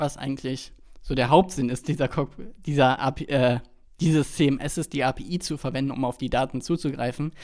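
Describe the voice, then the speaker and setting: On a very clean recording with a silent background, a man with an ordinary speaking voice talks at a moderate pace and fairly high pitch, his intonation fairly even. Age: 20s. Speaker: podcast co-host, web developer. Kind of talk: casual chat.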